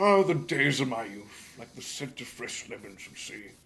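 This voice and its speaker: Using a put-on character voice, a man talks at a moderate pace and a medium pitch. His pitch swings very widely and his loudness shifts a lot. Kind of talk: pompous, nostalgic.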